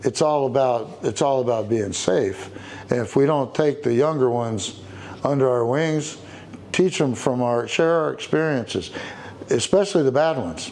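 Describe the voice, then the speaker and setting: With a Texan accent and a medium pitch, a man talks at a moderate pace with ordinary pitch variation amid noticeable background noise. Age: 60s. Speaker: biker. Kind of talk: interview. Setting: motorcycle shop. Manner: halting.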